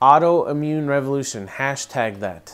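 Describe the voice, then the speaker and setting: Speaking fairly slowly, a man delivers his words. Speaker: co-founder of a gluten-free food channel, vlogger; vlogger. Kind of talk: casual vlog monologue. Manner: hesitant, many fillers. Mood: earnest, urging.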